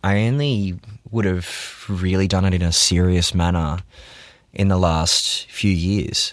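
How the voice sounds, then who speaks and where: A man with a very deep, low pitch speaks in an Australian accent. His pace is fairly slow, his loudness very even, and his pitch variation ordinary. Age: 30s. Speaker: video producer. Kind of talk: interview.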